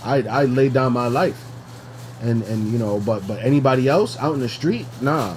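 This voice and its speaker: This is a man speaking with an American accent. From New York. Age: 30s. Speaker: podcast co-host. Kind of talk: casual chat. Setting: at home. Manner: halting.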